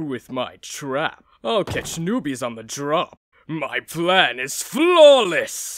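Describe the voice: A man does a cartoonish character voice, fairly high in pitch for a man. He speaks very slowly in a very clean recording with a silent background.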